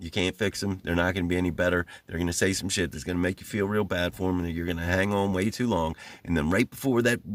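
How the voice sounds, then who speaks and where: A man with an American accent talks very fast on a very clean recording with a silent background. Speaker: YouTuber discussing narcissism. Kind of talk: casual monologue. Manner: hesitant, many fillers.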